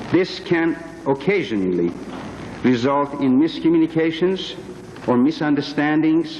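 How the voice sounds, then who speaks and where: Noticeable background noise behind a man's fairly slow pace. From Iran. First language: Persian. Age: 50s. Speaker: witness at a congressional hearing. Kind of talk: testimony. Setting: hearing room. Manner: formal. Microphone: too far from the microphone.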